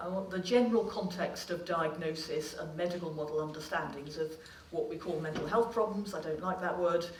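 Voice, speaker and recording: A woman speaks at a fairly low pitch with ordinary pitch variation. Audible room echo and noticeable background noise come through. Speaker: clinical psychologist. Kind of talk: lecture. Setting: stage with audience. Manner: fast.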